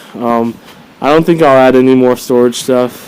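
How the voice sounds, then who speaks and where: A man of medium pitch talks at a moderate pace with noticeable background noise behind him. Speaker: motorcycle vlogger. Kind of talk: casual video review. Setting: outdoors. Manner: casual with many fillers.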